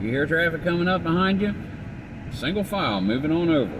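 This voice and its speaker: A man talks at a fairly quick pace. There is audible room echo and noticeable background noise. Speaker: vlogger filming while driving. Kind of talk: casual driving vlog monologue. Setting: in a car. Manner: casual, conversational.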